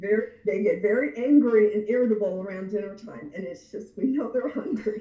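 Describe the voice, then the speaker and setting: A woman speaks with a plain, everyday voice at a fairly high pitch. Her pitch variation is ordinary, and there are hardly any pauses. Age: 60s. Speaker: anger management expert. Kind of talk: casual interview chat.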